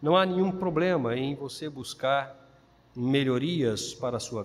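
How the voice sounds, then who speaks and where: Speaking at a fairly slow pace, a man uses very wide pitch swings. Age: 50s. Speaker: pastor. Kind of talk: sermon.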